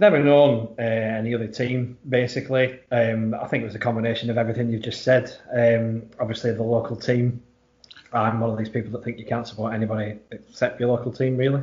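Talking in a Lancashire accent, a man moves at a fairly quick pace. His medium-pitched voice stays monotone and flat. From Blackburn, Lancashire. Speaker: football fan. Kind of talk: casual interview.

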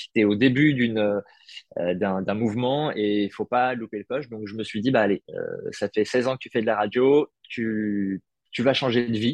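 A man's medium-pitched, normal speaking voice at a fairly slow pace, with big swings in loudness and a dry, close sound with no echo. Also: fairly even intonation. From Paris, France. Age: 30s. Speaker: food content creator, former radio journalist. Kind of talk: casual interview.

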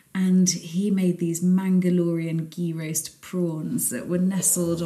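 Fairly low-pitched and somewhat breathy, a woman speaks. Her tone is dark and mellow. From Scunthorpe, northern England. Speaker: cookbook author and cook. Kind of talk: casual chat. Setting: at her home.

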